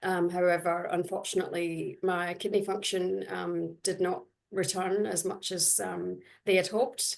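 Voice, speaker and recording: A woman with a Scottish accent at a moderate pace. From Scotland. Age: 40s. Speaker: dialysis patient. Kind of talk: personal testimony on webinar panel. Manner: hesitant, many fillers.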